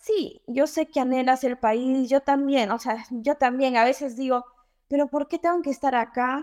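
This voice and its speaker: Dry and close with no echo, a woman's high-pitched voice moves at a fairly slow pace with ordinary pitch variation. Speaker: dentist living abroad. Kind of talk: casual interview.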